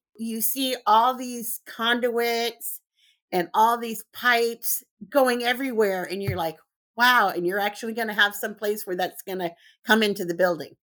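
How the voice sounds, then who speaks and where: With a Californian accent, a woman speaks at a moderate pace in a fairly high pitch, her tone animated, bright and sharp, with ordinary pitch variation on a very clean recording with a silent background. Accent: Californian American English. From Southern California. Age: 50s. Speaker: construction inspector. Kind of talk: interview.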